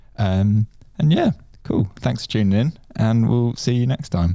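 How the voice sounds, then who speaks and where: Ordinary pitch variation and a dark, mellow tone come through on a very clean recording with a silent background. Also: man. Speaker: podcast host. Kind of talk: casual interview.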